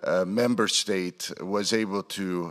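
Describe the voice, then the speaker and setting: A man with a Croatian accent speaks in a bright, sharp tone. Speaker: politician. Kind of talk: conference speech. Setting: stage with audience.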